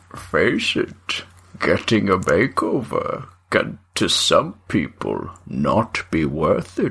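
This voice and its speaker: Very slowly, a man voices a put-on character. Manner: slow, sage, measured.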